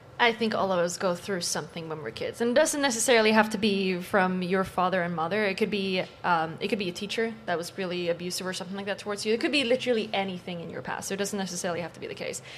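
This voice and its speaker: Over noticeable background noise, a woman talks very fast with hardly any pauses, at a medium pitch and with ordinary pitch variation. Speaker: panel guest. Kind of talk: heated debate.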